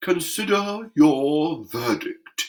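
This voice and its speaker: The voice is a put-on character voice at a middle pitch. Its tone is pompous. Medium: read story. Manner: pompous, peremptory.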